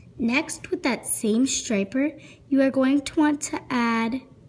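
At a very slow pace, a woman speaks in an upbeat tone, with light background noise. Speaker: nail art tutorial maker. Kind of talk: nail art tutorial talk to camera. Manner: upbeat, friendly. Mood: friendly, upbeat. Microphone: phone near.

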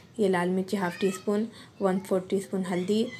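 Against light background noise, a woman speaks in a monotone, flat intonation. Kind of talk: tutorial. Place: kitchen. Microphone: phone near.

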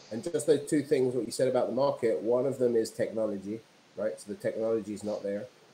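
A man talks at a very fast pace with a British accent, his loudness swinging widely. His tone is dark and mellow, his pitch varies in an ordinary way, and there is light background noise. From England, London. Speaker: entrepreneur and filmmaker. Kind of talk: interview. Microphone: video call.

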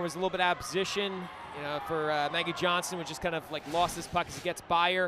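A man with a high pitch rattles along at a very fast pace in a monotone, flat delivery over noticeable background noise. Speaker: color commentator. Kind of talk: live commentary, game analysis. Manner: conversational, somewhat rambling.

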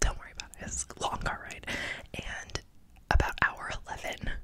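A woman whispers at a fairly slow pace. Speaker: vlogger. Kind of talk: casual vlog chat. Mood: warm, playful. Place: home room. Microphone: studio mic.

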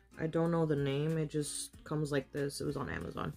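Faint background music behind a woman's speaking voice. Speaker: makeup vlogger. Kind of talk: tutorial. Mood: playful, relaxed. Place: home room. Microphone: phone near.

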